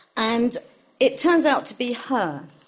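A woman speaks in an unremarkable speaking voice at a fairly high pitch with lively intonation. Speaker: translator. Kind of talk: panel discussion.

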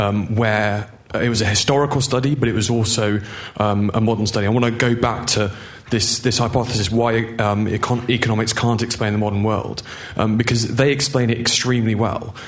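Through noticeable background noise, a man at medium pitch speaks at a moderate pace in a monotone with flat intonation and very even loudness. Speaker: audience member, former student. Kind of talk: audience question. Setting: stage with audience, microphone in hall.

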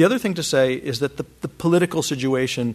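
A man speaks in a plain, everyday voice. His pitch sits in the medium range with ordinary variation. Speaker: professor. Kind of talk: lecture. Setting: stage with audience.

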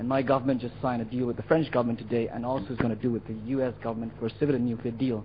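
Breathing a little into his words, a man talks at a very fast pace. His pitch is medium and his intonation fairly even. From India. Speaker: audience member asking question. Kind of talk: audience question. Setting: lecture hall with audience.

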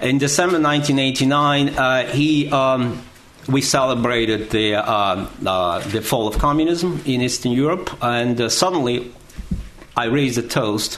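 A man with a Russian accent speaks at medium pitch and a fairly slow pace, with ordinary pitch variation and very even loudness, amid audible room echo and noticeable background noise. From Russia, Moscow. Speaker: history professor. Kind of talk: panel talk.

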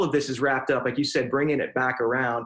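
A man with an unremarkable speaking voice and fairly even intonation. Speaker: pastor. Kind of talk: casual chat.

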